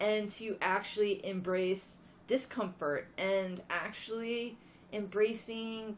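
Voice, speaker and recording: A woman speaks quietly. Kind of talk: casual talk to camera.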